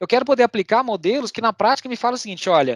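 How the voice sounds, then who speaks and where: There is no echo, and the sound is dry and close. The man's intonation is lively. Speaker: technology presenter at a tech meetup. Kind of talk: online tech talk with demo. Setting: online meetup video call. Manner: fast.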